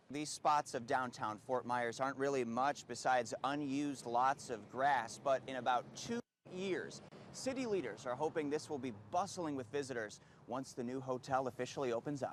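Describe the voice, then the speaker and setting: This man has an unremarkable speaking voice. He moves at a moderate speed, and his pitch varies in an ordinary way. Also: medium pitch for a man. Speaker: TV news reporter. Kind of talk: TV news field report. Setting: outdoors.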